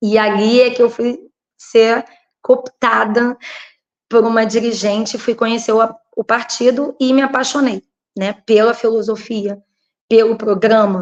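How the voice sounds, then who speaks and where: Pausing long and often, a woman speaks fairly slowly in a fairly high, monotone voice with flat intonation. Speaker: local political candidate and teacher. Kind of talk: interview.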